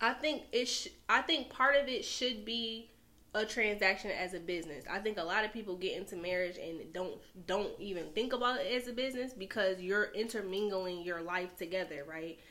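A woman with an American accent at a medium pitch, with lively intonation, a moderate pace, and noticeable background noise. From New York. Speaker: podcast guest. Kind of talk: casual chat.

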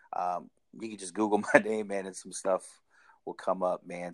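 The recording is dry and close with no echo, catching a man with an ordinary speaking voice, a fairly low pitch, fairly even intonation and a moderate pace. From Washington State, Tacoma area; teen years in Hawaii. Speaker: minister and licensed counselor. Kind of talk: casual interview. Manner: casual, filler-heavy.

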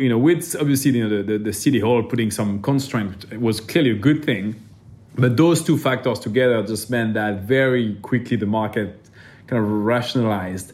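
This man speaks with a French accent at a medium pitch. His pace is moderate, and his pitch varies in an ordinary way. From France. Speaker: venture capital investor. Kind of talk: interview.

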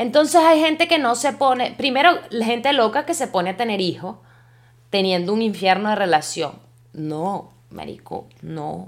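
A woman talks at a fairly slow pace with a fairly high pitch. Her tone is animated, with very wide pitch swings. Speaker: podcaster. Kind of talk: casual monologue.

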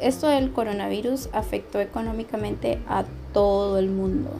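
A woman speaks at a fairly slow pace. Noticeable background noise sits behind her. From Honduras. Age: 20s. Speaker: journalism student. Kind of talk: casual chat.

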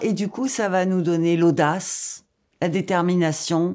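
A woman speaks at a fairly slow pace in a fairly low, dark, mellow voice. Her pitch varies in an ordinary way. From Algeria. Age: old. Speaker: storyteller. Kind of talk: personal storytelling podcast.

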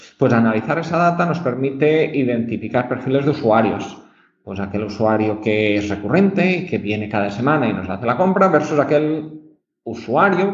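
A man's fairly high, somewhat breathy voice at a fairly quick pace, with very wide pitch swings. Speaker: marketing research director. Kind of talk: casual chat. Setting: remote call.

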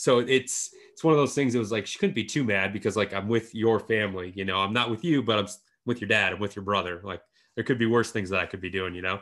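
A man speaks with an Upper Midwest accent. His pace is very fast. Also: fairly low pitch for a man, ordinary pitch variation, very clean recording, silent background. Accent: Upper Midwest American. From northern lower Michigan, rural. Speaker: podcast host and apparel brand founder. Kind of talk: casual chat.

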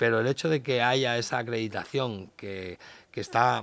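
This is a plain, everyday voice, belonging to a man. He keeps a moderate pace and a medium pitch. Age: 50s. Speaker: dog behavior expert and trainer. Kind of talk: casual interview.

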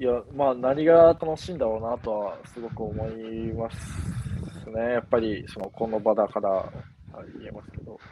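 This is an ordinary speaking voice at a fairly slow pace. It has ordinary pitch variation and big swings in loudness. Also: man, medium pitch for a man. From Japan, Yamanashi. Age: 20s. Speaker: university student. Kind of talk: casual chat. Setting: outdoors.

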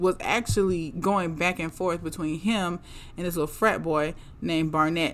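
Moderate pace and ordinary pitch variation in an unremarkable speaking voice. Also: woman. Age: 30s. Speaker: podcast host reviewing reality TV. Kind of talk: casual monologue.

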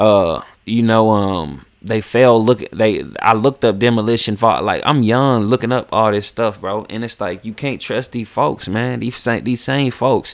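This man has a medium pitch and ordinary pitch variation, speaking at a fairly slow pace. The recording is very clean, with a silent background. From West Virginia. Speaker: podcast host and rapper. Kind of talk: casual monologue. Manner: animated.

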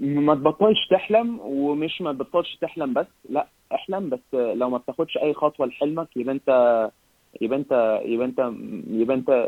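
This man's voice sits at a fairly high pitch. He keeps a moderate pace with lively intonation. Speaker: artist, entrepreneur and mental health speaker. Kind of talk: casual interview. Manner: animated, halting with repetitions.

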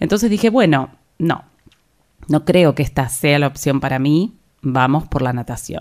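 Over a silent background in a very clean recording, a woman with an Argentine accent talks at a moderate pace with lively intonation. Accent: Rioplatense Argentine Spanish. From Argentina, La Plata. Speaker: yoga teacher and podcast host. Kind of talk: personal storytelling monologue.

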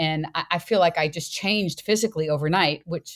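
A woman's ordinary speaking voice at a fairly low pitch and moderate pace, on a very clean recording with a silent background. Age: 60s. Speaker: fitness coach and former school counselor. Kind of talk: podcast interview.

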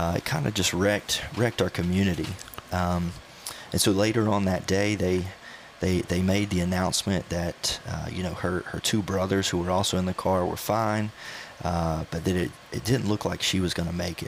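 With a Southern US accent, a man talks at a moderate pace in a very deep, low pitch and fairly even intonation, over noticeable background noise. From North Carolina. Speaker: student pastor. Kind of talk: casual chat. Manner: halting, many fillers and repetitions.

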